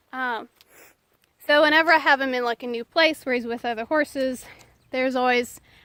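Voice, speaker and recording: This woman's raised, projected voice sits high, with a bright, sharp tone and ordinary pitch variation. The recording is very clean, with a silent background. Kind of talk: casual outdoor devotional storytelling. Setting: outdoors in a pasture. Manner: halting, many fillers.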